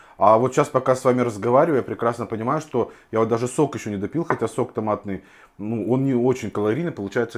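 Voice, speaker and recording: A man rattles along at a very fast pace, his pitch varying in an ordinary way, with a quiet background behind him. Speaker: home food vlogger. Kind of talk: casual vlog chat. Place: kitchen. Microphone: lapel.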